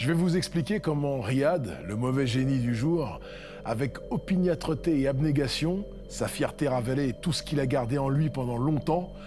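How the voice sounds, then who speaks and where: A man talks at a fairly slow pace while music plays in the background. His fairly high pitch shows ordinary variation. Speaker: storyteller. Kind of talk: horror story narration.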